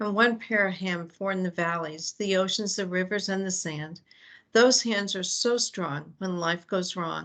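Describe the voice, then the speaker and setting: At a fairly slow pace, a woman speaks in a medium pitch with an ordinary speaking voice over a quiet background. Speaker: faith community nurse. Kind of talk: opening reflection at online meeting. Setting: video call.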